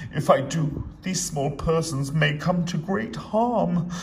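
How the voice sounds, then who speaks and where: A man uses a put-on character voice over clear background noise. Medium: read story. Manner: earnest, kind.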